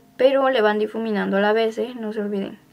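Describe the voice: The speech moves at a fast pace with vocal fry. Intonation stays fairly even. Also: woman, fairly high pitch for a woman.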